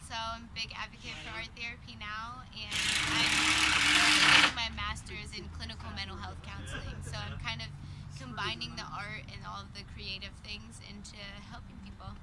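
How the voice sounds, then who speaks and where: The speech comes at a moderate pace amid noticeable background noise. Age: 20s. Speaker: artist and art therapy student. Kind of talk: interview. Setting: art venue, recorded on camera. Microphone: poor camera sound.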